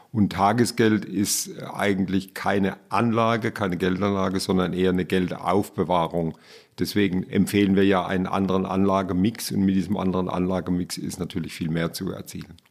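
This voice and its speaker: Over a very clean recording with a silent background, a man speaks at a fairly quick pace in a very deep, low pitch with monotone, flat intonation. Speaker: banking association president. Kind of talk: interview. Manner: formal.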